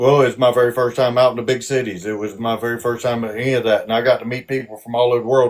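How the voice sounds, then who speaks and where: Delivered with hardly any pauses, the speech has monotone, flat intonation and a strong Southern US accent. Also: man, medium pitch for a man. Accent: Southern US drawl, strong. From South Georgia, US. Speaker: army veteran. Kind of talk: interview. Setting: live stream. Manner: halting.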